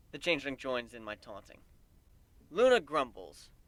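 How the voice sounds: A man of medium pitch speaks at a moderate pace with big pitch swings and a fairly bright tone.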